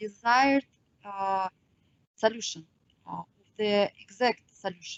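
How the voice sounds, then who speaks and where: This woman has a fairly high-pitched voice. Her pitch varies in an ordinary way. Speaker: mathematician lecturer. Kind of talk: lecture. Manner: halting, many filler sounds.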